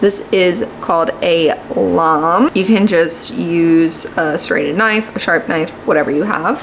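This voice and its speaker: A quiet woman's voice at a fairly slow pace, against noticeable background noise. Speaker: lifestyle vlogger. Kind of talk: tutorial. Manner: casual.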